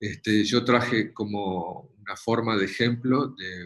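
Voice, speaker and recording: At a very slow pace, a man with a fairly low pitch speaks with ordinary pitch variation. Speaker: dog show judge lecturer. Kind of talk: lecture. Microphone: webcam.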